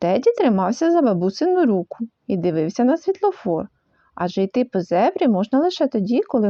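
Against a quiet background, a person is reading aloud in a natural voice.

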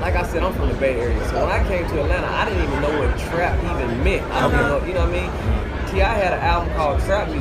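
Crowd noise fills the background while a man talks. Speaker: guest. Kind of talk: interview answer. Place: hall. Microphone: studio mic.

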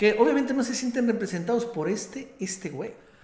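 A man speaks with audible room echo. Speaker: political commentator. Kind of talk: commentary.

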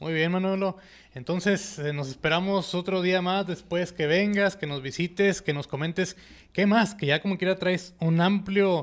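A high-pitched man at a moderate pace, with fairly even intonation and a quiet background. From Mexico, Nuevo Laredo (Tamaulipas); Tamaulipas, Mexico. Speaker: podcast host. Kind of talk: interview. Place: studio. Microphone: studio mic.

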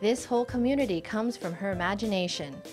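A woman talking at a fairly quick pace with ordinary pitch variation, music in the background. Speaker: news reporter. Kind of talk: TV news report narration.

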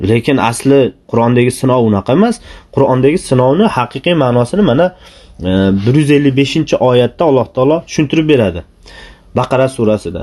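At a fairly quick pace, a man with a dark, mellow tone and medium pitch speaks with lively intonation and very even loudness. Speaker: Islamic preacher. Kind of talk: religious talk.

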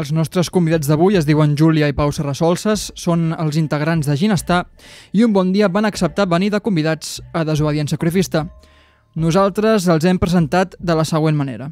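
Very even in loudness, a man speaks at a high pitch, the sound dry with no echo. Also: ordinary pitch variation, moderate pace. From Catalonia. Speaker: podcast host. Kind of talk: mock test interview. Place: studio. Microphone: studio mic.

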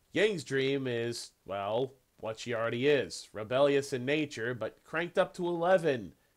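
At a moderate pace and with hardly any pauses, the speech sits over a quiet background. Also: man, lively intonation. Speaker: reaction video host. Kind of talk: casual reaction commentary. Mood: amused, cheerful. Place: home room. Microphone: headset.

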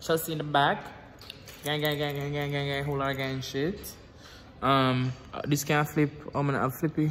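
The speech comes in a Jamaican accent, monotone and flat, at a moderate pace with long, frequent pauses. Light background noise is present. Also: man. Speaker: vlogger. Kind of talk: casual vlog.

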